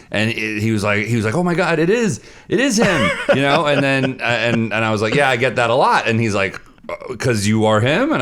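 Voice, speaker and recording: Noticeable background noise sits behind a man with a medium pitch speaking at a fairly quick pace. His tone is animated, with lively intonation. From United States. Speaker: comedy podcast host. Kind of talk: casual chat.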